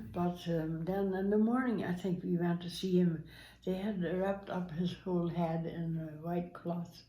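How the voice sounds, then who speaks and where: The voice is somewhat breathy and dark, mellow in tone, moving at a fairly slow pace with monotone, flat intonation. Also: woman, fairly low pitch for a woman. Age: 80s+. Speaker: grandmother guest, telling story of her son's accident. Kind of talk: interview answer, recounting a story.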